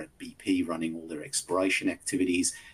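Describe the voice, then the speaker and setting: A man's somewhat breathy, very deep, low voice in an Australian accent, at a moderate pace with ordinary pitch variation. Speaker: company executive. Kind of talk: investor presentation Q&A. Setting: virtual conference. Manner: hesitant, many fillers.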